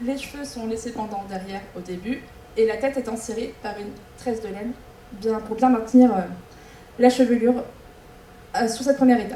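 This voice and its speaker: A woman with a fairly high pitch and fairly even intonation speaks at a fairly quick pace, with long, frequent pauses, big swings in loudness and noticeable background noise. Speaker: folk dance group member presenting hairstyle. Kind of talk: demonstration presentation to an audience. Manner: fast.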